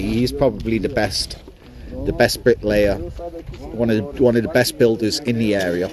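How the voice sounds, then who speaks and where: A man speaks at a moderate pace with a medium pitch and ordinary pitch variation over noticeable background noise. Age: 40s. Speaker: crypto livestreamer. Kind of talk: casual livestream chat. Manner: rambling, casual with fillers.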